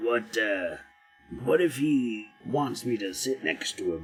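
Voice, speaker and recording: A put-on character voice, gruff and raspy, unfolds at a fairly slow pace. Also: man, medium pitch for a man. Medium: read story. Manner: gruff, hesitant mutterer.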